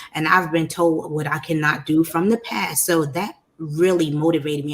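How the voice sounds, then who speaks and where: With a New York accent, a woman speaks in an animated tone at a fairly low pitch. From New York, Brooklyn. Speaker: podcast host, life coach. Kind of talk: interview, personal story.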